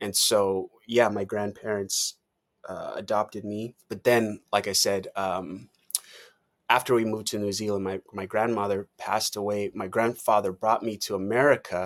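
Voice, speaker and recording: In a dry, close recording with no echo, a man talks at a moderate pace with a fairly low pitch and monotone, flat intonation. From Maui, Hawaii (born in Tonga). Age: 40s. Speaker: scalp micropigmentation artist and trainer. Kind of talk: casual interview chat.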